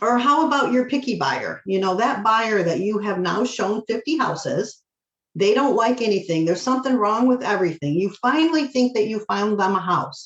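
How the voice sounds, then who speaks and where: A woman with a fairly high pitch and an American accent, animated in tone, with lively intonation and very even loudness. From Michigan. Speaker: mortgage loan officer. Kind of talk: presentation to real estate agents. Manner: fast.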